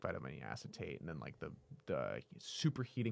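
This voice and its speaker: Vocal fry colors this man's fairly quick speech. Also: very clean recording, silent background. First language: French. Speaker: actor and cannabis business founder. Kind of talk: casual chat. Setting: studio.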